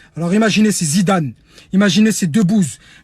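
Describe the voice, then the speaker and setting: The delivery comes at a very fast pace with ordinary pitch variation. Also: man. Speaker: activist. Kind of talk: video monologue call to action. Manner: loud.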